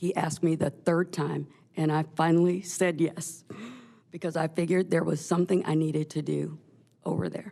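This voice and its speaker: A woman's very deep, low pitch and dark, mellow tone, with vocal fry, at a moderate pace. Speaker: candidate interviewing for utility commissioner. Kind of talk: job interview.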